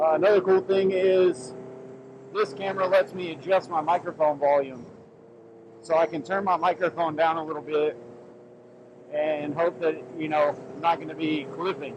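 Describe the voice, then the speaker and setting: Over noticeable background noise, a man talks with long, frequent pauses. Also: ordinary pitch variation, moderate pace. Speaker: motorcycle vlogger. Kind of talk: casual riding vlog commentary. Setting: riding a motorcycle, helmet POV. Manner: loud.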